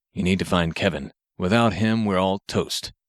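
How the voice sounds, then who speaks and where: A man growls in a put-on character voice with a very deep, low pitch and fairly even intonation. His loudness stays very even, and the recording is very clean with a silent background and a dry, close sound with no echo. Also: moderate pace. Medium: read story.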